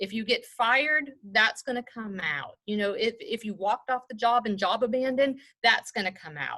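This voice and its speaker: Speaking with a Mississippi accent, a woman uses a bright, sharp tone and lively intonation at a moderate pace. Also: fairly high pitch for a woman. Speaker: human resources executive. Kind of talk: presentation. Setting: video call. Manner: casual.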